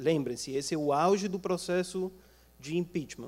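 High-pitched for a man, his voice shows ordinary pitch variation. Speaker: international relations professor. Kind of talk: panel talk. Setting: auditorium with audience.

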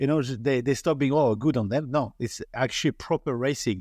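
A man with a French accent and a dark, mellow tone speaks at a fairly quick pace, at medium pitch with ordinary pitch variation, against a quiet background. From France. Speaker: podcast host. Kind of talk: interview.

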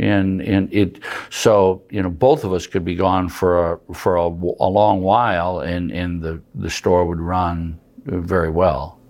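With an Upper Midwest accent, a man speaks at a fairly slow pace in a very deep, low pitch with ordinary pitch variation. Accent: Upper Midwest American. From South Dakota, Madison. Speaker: farm equipment dealer. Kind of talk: interview. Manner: halting, many fillers.

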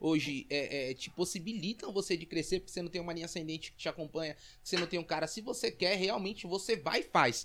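Male voice at a high pitch with ordinary pitch variation and a fairly quick pace, very clean recording, silent background. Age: 20s. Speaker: network marketing entrepreneur. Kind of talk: casual interview.

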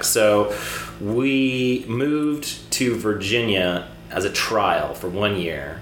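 Noticeable background noise and audible room echo surround a man whose fairly low voice shows ordinary pitch variation. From Cyprus. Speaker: film director and screenwriter. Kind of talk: casual chat.

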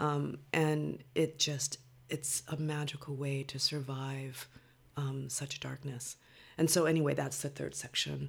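A woman with an American accent, very deep and low in pitch, somewhat breathy, fairly slow and monotone, on a very clean recording with a silent background. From Los Angeles (Compton), California. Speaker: poet. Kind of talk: interview.

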